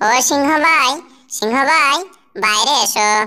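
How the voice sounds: This is a cartoonish character voice that sounds female. It is pitched high for a woman.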